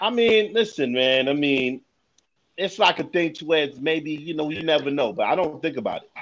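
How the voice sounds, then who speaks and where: A man talks with a New York accent and lively intonation. His loudness swings widely. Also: moderate pace. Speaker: podcaster. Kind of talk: casual chat.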